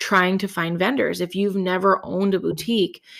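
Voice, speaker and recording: A woman's medium-pitched voice with fairly even intonation comes through on a very clean recording with a silent background. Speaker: podcast host and boutique owner. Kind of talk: casual chat. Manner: fast, trips over words.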